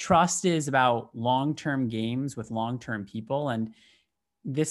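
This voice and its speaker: A man with a normal speaking voice, medium pitch and ordinary pitch variation at a fairly slow pace. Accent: American. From US Midwest, Michigan. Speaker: business executive. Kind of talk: interview.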